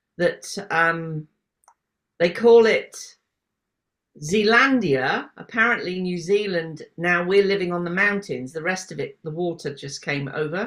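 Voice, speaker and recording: A woman with a British accent speaks at a fairly slow pace, her fairly low voice carrying ordinary pitch variation. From UK. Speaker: podcast host. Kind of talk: casual interview chat.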